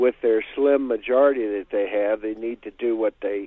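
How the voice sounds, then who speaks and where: A man with an American accent and an ordinary speaking voice talks at a moderate pace, with a medium pitch and fairly even intonation. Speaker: caller. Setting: phone call.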